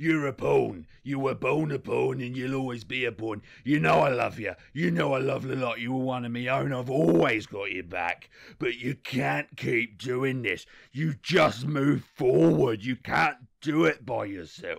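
The recording is very clean with a silent background. A man with a medium pitch speaks at a moderate pace. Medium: short film. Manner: blunt, fatherly, weary.

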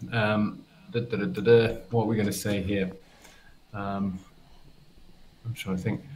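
A man with a southern English accent talks at a fairly slow pace with long, frequent pauses, his voice fairly low and somewhat breathy, his intonation fairly even, with light background noise. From England. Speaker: nature photographer; guest. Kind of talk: casual chat. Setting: video call. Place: home room.

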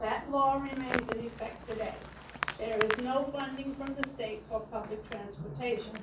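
With noticeable background noise and audible room echo, a woman speaks at a high pitch and moderate pace with fairly even intonation. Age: 80s+. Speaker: resident speaking at public comment. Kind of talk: public comment at council meeting. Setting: city council meeting. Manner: formal.

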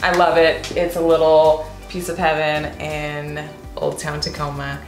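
A woman speaks low and monotone at a fairly slow pace, with audible room echo and faint music in the background.

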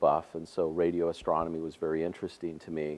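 The man's voice is very deep and low in pitch. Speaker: interview guest. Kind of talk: interview answer. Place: hall. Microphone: lapel.

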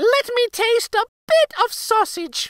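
Squeaky and extremely high, a female-sounding put-on character voice moves at a fairly slow pace. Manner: demanding.

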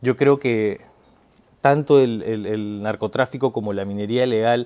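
His tone dark and mellow, a man speaks very slowly with ordinary pitch variation. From Peru. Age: 30s. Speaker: actor. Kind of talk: political testimonial to camera. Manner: halting with many fillers. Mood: earnest, concerned. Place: garden.

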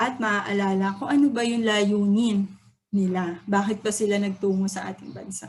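At a moderate pace, a woman speaks in a somewhat breathy, medium-pitched voice with fairly even intonation and big swings in loudness. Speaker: student or teacher giving a poem analysis. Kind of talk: lecture. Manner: halting.

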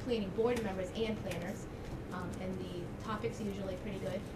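A woman at a very fast pace amid loud background noise. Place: meeting room. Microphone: camera far.

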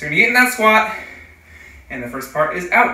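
A man speaks, with audible room echo around his voice. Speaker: fitness coach. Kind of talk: tutorial. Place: garage. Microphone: camera far.

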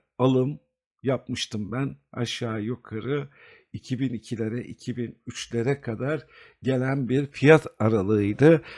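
Fairly even intonation accompanies a very slow pace. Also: man. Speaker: investment video host. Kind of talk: market analysis tutorial. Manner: hesitant fillers.

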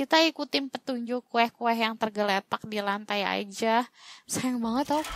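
Speaking at a fairly slow pace, a woman uses a fairly high pitch. The sound is dry and close, with no echo. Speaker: gaming YouTuber. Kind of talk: gaming let's-play commentary. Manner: animated.

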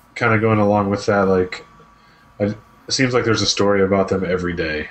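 Over noticeable background noise, a man with a fairly low voice talks at a fairly quick pace, with fairly even intonation and very even loudness. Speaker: gaming podcast co-host. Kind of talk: casual chat. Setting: video call from home office. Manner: polite.

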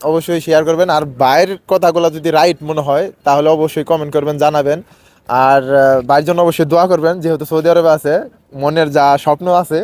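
A man talks in a fairly high pitch with monotone, flat intonation. His loudness stays very even throughout. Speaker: street interviewer for a channel on Bangladeshi migrant workers. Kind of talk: outro address to viewers.

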